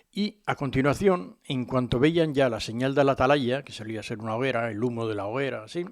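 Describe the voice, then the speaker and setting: At a medium pitch and moderate pace, a man uses a normal speaking voice with ordinary pitch variation. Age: 60s. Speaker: local history radio host. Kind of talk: informal history talk. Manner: conversational, frequent fillers.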